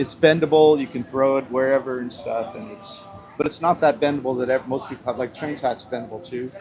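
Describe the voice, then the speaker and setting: Amid noticeable background noise, a man of medium pitch speaks at a fairly quick pace, his loudness swinging widely. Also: ordinary pitch variation. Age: 60s. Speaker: travel vlogger. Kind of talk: casual chat.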